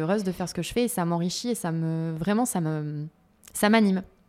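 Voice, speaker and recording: A woman's dark, mellow voice at a fairly low pitch, moderate pace, on a very clean recording with a silent background. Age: 30s. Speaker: entrepreneur in children's activities. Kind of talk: interview.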